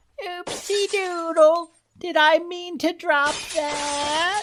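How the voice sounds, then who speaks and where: A man's put-on character voice, extremely high in pitch, at a very slow pace. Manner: terrible impression, playfully silly.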